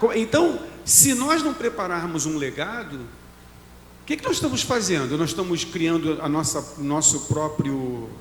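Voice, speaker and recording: Recorded with noticeable background noise and audible room echo, a man talks at a fairly slow pace. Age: 60s. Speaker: pastor. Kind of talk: casual chat.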